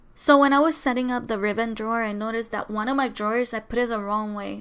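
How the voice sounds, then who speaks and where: Soft-spoken and fairly high-pitched, a woman talks at a very fast pace with hardly any pauses and fairly even intonation. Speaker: crafting YouTuber. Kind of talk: voiceover tutorial. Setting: home, others sleeping.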